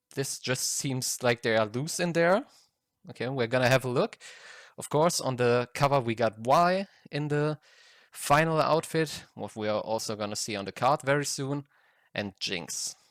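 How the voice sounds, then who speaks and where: A speaker with a non-native accent and ordinary pitch variation sounds dry and close with no echo, on a very clean recording over a silent background. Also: man, medium pitch for a man, moderate pace. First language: not English. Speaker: card game collector, YouTuber. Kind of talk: unboxing video. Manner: halting, self-correcting.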